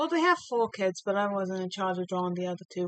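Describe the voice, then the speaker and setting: A woman mumbles in a soft-spoken way at a medium pitch, her voice dry and close with no echo. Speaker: streamer and digital artist. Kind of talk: casual chat while drawing. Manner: soft-spoken, quiet; mumbling. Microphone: voice coming through quiet.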